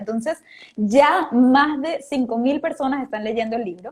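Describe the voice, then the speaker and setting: Her voice sits high for a woman, with lively intonation and a moderate pace. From Venezuela. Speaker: motivational speaker and author. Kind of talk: interview. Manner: animated.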